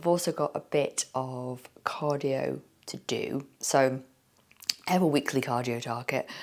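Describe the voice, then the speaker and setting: This speaker has a southern English accent and talks at a fairly slow pace. The intonation stays fairly even. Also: woman, very deep, low pitch for a woman. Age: 40s. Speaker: fitness vlogger. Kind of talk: vlog. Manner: casual.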